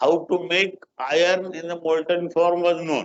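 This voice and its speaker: A man speaks at a very slow pace in a high voice. His intonation stays fairly even. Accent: Indian. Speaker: guest lecturer. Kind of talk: lecture.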